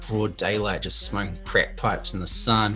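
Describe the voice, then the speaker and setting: With music in the background and audible room echo, a man speaks at a moderate pace with a New Zealand accent. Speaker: livestream host. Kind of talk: casual chat.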